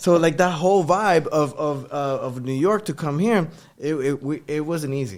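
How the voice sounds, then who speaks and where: Speaking in a Puerto Rican accent at a moderate pace, a man has a fairly high pitch and ordinary pitch variation. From Puerto Rico. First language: Spanish. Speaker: podcast host. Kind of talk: casual chat.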